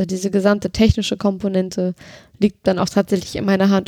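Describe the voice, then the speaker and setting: A woman's medium-pitched voice with a dark, mellow tone at a fairly quick pace, dry and close with no echo, in a very clean recording with a silent background. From Berlin, Germany. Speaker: podcast co-host, web developer. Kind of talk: casual tech chat.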